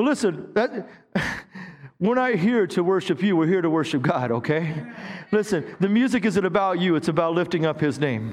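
There is noticeable background noise behind a man speaking at a moderate pace. His voice is high-pitched with lively intonation. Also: very even loudness. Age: 50s. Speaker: pastor. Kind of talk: sermon. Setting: church with live congregation. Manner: animated.

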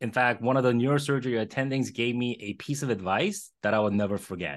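An ordinary speaking voice from a man at a moderate pace against a quiet background. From born in Korea, moved to Los Angeles around age eleven. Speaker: radiologist and entrepreneur. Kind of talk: interview.

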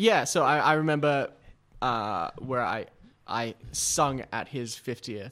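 Very clean and set against a silent background, the recording has a man speaking at medium pitch with a bright, sharp tone and an Australian accent at a very slow pace. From Sydney, northern suburbs. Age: 20s. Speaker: social media creative. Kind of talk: casual chat.

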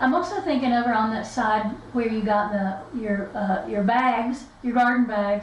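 A woman's fairly high voice at a moderate pace, with ordinary pitch variation, hardly any pauses, and noticeable background noise. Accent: Appalachian. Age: 60s. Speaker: podcast co-host, author. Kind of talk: casual chat.

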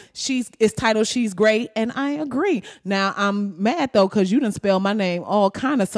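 The pitch shifts in an ordinary way as a natural voice reads aloud.

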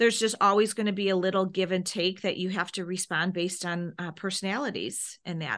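Over a quiet background, a woman with a normal speaking voice and medium pitch talks at a fairly quick pace, with fairly even intonation and hardly any pauses. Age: 50s. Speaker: speech therapist. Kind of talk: interview.

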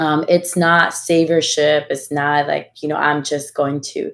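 The speaker has a Spanish accent and talks at a fairly slow pace. The recording is very clean, with a silent background. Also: woman. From Ecuador. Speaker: executive. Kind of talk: panel discussion. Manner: halting.

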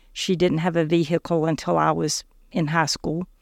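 On a very clean recording with a silent background, a woman with a Southern US accent speaks fairly slowly in a very deep, low pitch with fairly even intonation. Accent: Southern US (Georgia). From US South, South Georgia. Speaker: faith testimony guest, former medical office worker. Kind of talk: personal testimony.

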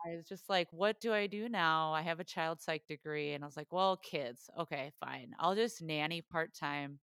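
Barely pausing, a woman speaks at a moderate pace in a normal speaking voice, with a fairly low pitch and ordinary pitch variation. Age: 30s. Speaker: podcaster. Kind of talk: casual chat.

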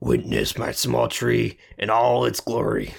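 Using a put-on character voice, a man speaks at a fairly slow pace with a very deep, low pitch that is gravelly and raspy. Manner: grandiose.

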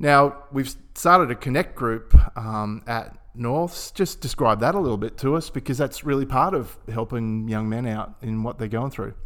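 With music in the background, a man with an Australian accent talks at a moderate pace and medium pitch, using ordinary pitch variation. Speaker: podcast host and club chaplain. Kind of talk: casual interview.

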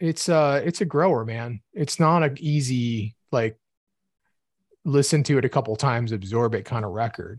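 In a dry, close sound with no echo and a quiet background, a man of medium pitch talks at a moderate pace, somewhat breathy, with ordinary pitch variation. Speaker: podcast co-host. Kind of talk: casual chat.

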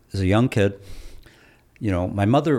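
A man with an American accent speaks at a fairly low pitch with lively intonation. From Michigan Upper Peninsula (Keweenaw area). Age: 60s. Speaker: retired engineering professor. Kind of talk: interview.

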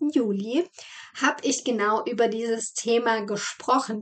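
This woman talks at a fairly slow pace, with ordinary pitch variation. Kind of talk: guided meditation. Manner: slow, calm and soothing, with gentle pauses for breathing; soft-spoken and warm, addressing the listener as "du".

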